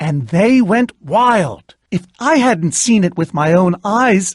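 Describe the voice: A put-on character voice unfolds slowly with lively intonation on a very clean recording with a silent background. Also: man, high pitch for a man.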